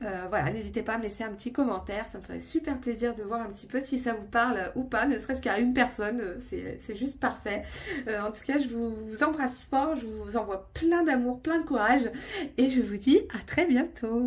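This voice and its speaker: With some vocal fry, a woman speaks at a moderate pace in a fairly high pitch with ordinary pitch variation. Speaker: tarot and oracle card reader. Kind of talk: intuitive card reading monologue to viewers. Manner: calm, settled; hesitant, many filler sounds.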